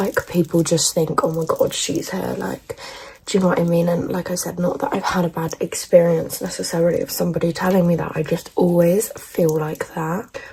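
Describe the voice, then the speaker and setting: Over noticeable background noise, a woman with an English accent talks at a fairly quick pace. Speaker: beauty vlogger. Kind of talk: casual chat. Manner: loud; animated.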